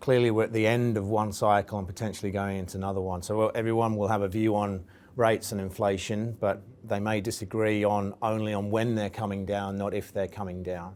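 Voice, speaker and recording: The delivery has monotone, flat intonation with an English accent. The pace is fairly quick. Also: man. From England. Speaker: investment firm executive. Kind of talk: interview.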